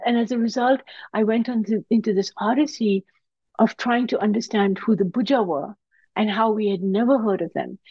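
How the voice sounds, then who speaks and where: Somewhat breathy, a woman talks at a fairly quick pace with a fairly high pitch. Her pitch varies in an ordinary way. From Pakistan. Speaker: historian and professor of religious studies. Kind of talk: interview about her book.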